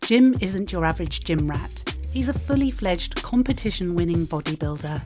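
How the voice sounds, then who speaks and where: Music plays in the background while a woman speaks. Her pace is moderate, with hardly any pauses. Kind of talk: documentary narration.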